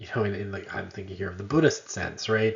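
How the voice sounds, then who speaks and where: A man with a fairly low voice and ordinary pitch variation. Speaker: university lecturer. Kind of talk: lecture. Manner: animated, emphatic.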